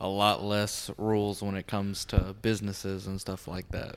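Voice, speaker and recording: A man speaks with a fairly low pitch. The recording is very clean, with a silent background. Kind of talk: casual chat.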